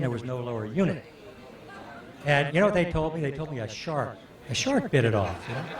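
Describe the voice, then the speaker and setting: A man with a medium-pitched voice talks at a very fast pace and with ordinary pitch variation, with audible room echo and noticeable background noise. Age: 60s. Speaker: fishing guide. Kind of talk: storytelling to audience. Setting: stage with audience. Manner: halting, many fillers.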